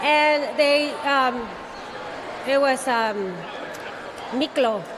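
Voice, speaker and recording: A woman's high-pitched voice with ordinary pitch variation at a very slow pace, amid noticeable background noise and audible room echo. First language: Spanish. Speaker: actress. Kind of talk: panel interview.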